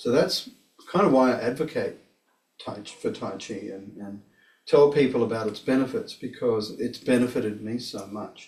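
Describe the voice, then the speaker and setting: Talking at a moderate pace in a medium pitch, a man with an Australian accent shows big swings in loudness. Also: ordinary pitch variation. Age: 60s. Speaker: tai chi practitioner and teacher. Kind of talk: casual explanation of practice; personal testimony. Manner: halting, repeats words.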